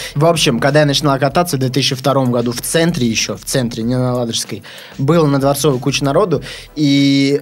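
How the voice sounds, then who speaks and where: A man's medium-pitched voice at a very fast pace, fairly even in intonation, with music in the background. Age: 20s. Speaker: BMX rider. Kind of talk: casual chat.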